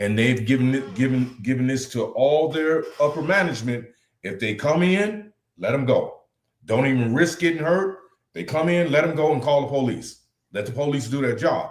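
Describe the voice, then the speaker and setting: At a moderate pace, a man with a fairly high pitch speaks with lively intonation. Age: 60s. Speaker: talk show co-host. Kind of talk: casual live-stream discussion. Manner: animated.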